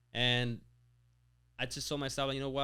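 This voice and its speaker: A man with a slight Spanish accent at a fairly quick pace, on a very clean recording with a silent background. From Mexico, raised near Lake Tahoe, California. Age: 20s. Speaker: business owner. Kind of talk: interview. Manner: casual, halting with many fillers.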